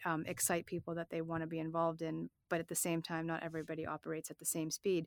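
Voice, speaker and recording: With hardly any pauses, a woman talks at a very fast pace in an American accent, her fairly low pitch caught in a very clean recording with a silent background and a dry, close sound with no echo. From Massachusetts South Shore (Hanover). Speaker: fintech executive. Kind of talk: interview.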